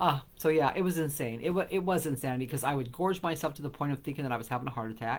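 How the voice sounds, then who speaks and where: A very fast pace with hardly any pauses. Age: 60s. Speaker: vlogger. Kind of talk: personal vlog monologue. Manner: casual, hesitant with fillers.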